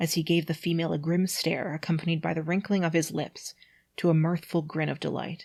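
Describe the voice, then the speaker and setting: The tone is dramatic and somewhat breathy at a moderate pace. The recording is very clean, with a silent background. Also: woman. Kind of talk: dramatic reading of a bad fantasy story.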